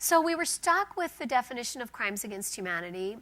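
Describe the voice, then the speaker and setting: Bright and sharp in tone, a woman talks at a fairly quick pace with very wide pitch swings. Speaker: law professor. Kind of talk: lecture. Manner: fast.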